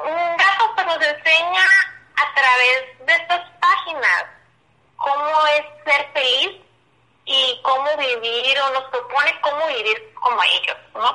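Very slowly, with long, frequent pauses, a woman projects a raised, high-pitched voice with a bright, sharp tone and lively intonation. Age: 20s. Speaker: advertising creative coordinator. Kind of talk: casual chat.

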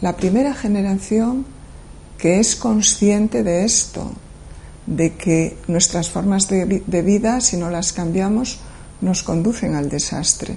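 A woman talks at a very slow pace, with long, frequent pauses and lively intonation. Her pitch is medium, and there is noticeable background noise. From Galicia, Spain. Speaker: professor. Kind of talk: interview monologue. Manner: measured, with hesitations.

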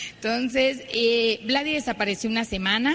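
Noticeable background noise surrounds a woman whose voice sits fairly high. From Mexico, Ciudad Obregón, Sonora. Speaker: network marketing speaker. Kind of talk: motivational talk.

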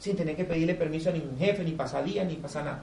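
A man speaks in an animated tone at a fairly high pitch. The room echoes audibly, and background noise is noticeable. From Colombia, Barranquilla. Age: 30s. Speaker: network marketing speaker. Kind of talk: business presentation to live audience. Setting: hotel event room with audience.

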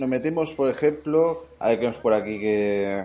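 There is music in the background. A man's speech comes at a fairly slow pace. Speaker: podcast host. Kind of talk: casual chat.

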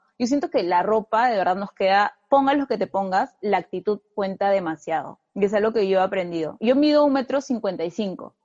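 A normal speaking voice, a woman at medium pitch talks at a fairly quick pace with lively intonation and hardly any pauses. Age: 20s. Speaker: fashion content creator. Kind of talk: casual interview. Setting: video podcast.

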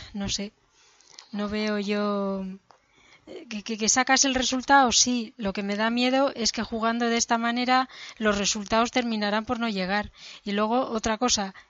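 A woman with fairly high pitch speaks at a fairly slow pace in a flat monotone, with long, frequent pauses. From Madrid, Spain. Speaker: podcast co-host. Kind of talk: casual chat.

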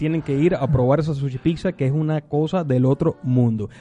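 This man's voice is fairly high in pitch with a dark, mellow tone. He keeps a moderate pace, and the sound is dry and close with no echo. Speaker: radio host. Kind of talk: radio show.

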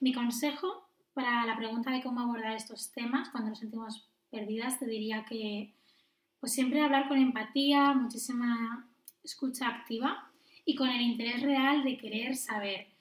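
A high-pitched woman's voice at a fairly slow pace, with fairly even intonation. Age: 20s. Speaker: nurse and midwife. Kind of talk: casual chat.

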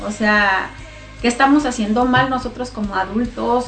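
A woman with a high pitch and ordinary pitch variation speaks at a moderate pace, with audible room echo and noticeable background noise. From Mexico, Chihuahua (Namiquipa). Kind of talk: religious testimony.

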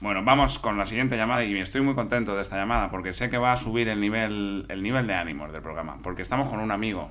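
The voice has a bright, sharp tone with vocal fry and ordinary pitch variation. It moves at a very fast pace, with audible room echo. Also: man. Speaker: comedy podcast co-host. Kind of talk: comedy sketch, parody radio call-in show.

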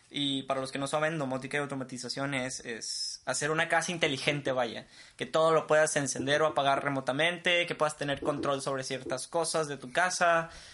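A man talks at a fairly quick pace with hardly any pauses and a fairly high pitch. His intonation is fairly even, and there is noticeable background noise. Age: 20s. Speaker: podcast co-host, engineering graduate. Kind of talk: casual chat. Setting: home studio in a bedroom. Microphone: cheap equipment.

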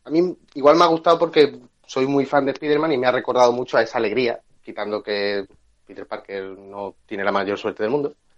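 A man's medium pitch and lively intonation at a fairly quick pace, with big swings in loudness. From Andalusia (Cádiz, El Puerto de Santa María). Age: 20s. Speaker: graphic designer. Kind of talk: casual chat.

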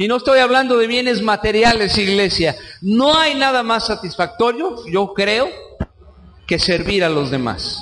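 Against noticeable background noise, a high-pitched man talks at a fairly slow pace in an animated tone. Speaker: preacher. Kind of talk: sermon. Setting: church. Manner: animated, conversational, colloquial; direct, exhorting the congregation.

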